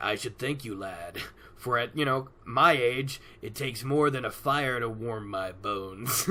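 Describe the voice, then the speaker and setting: At a moderate pace, a man talks in a put-on character voice. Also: medium pitch for a man. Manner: deadpan.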